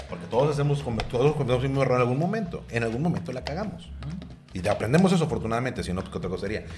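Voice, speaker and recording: Speaking very fast in a medium pitch with a Mexican accent, a man swings very widely in pitch amid noticeable background noise and audible room echo. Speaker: podcast host. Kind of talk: casual interview.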